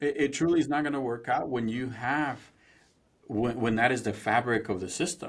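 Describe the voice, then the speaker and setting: A man talks with a Spanish accent. His pitch sits in the medium range. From Mexico, then Indiana from age 13. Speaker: former police officer, police culture trainer. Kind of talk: podcast interview.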